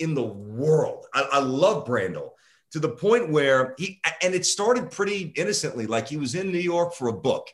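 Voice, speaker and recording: Lively intonation marks this man's plain, everyday voice. He speaks at a moderate pace. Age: 40s. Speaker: sports radio host. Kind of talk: casual interview.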